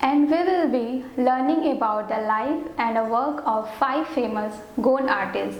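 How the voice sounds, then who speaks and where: Over noticeable background noise and audible room echo, a woman with a high pitch speaks at a very slow pace with ordinary pitch variation. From India, Banaras (Varanasi). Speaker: art teacher, student artist. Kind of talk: course introduction. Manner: careful, non-native phrasing.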